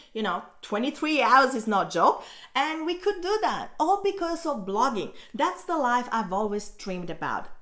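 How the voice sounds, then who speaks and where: A woman's high pitch with very wide pitch swings, at a moderate pace with an Italian accent. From Italy. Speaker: blogger and online teacher. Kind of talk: vlog about her own story. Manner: casual, conversational.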